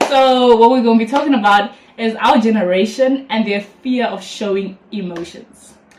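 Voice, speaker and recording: Over noticeable background noise, a woman talks at a moderate pace and fairly high pitch with ordinary pitch variation. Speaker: YouTuber. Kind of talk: casual chat. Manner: expressive, animated.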